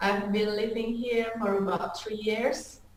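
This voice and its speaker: A woman at a very slow pace with fairly even intonation, amid audible room echo and noticeable background noise. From Indonesia. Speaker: student. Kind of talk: online language class. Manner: halting.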